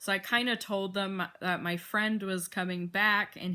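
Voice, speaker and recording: A woman's bright, sharp voice comes through in a monotone, flat delivery on a very clean recording with a silent background. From Arizona. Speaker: vlogger. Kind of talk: casual vlog monologue. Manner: rambling, many fillers.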